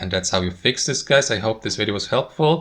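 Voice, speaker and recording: A man's bright, sharp tone carries vocal fry. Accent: non-native. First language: not English. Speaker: tech tutorial creator. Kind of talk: tutorial. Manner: casual, conversational.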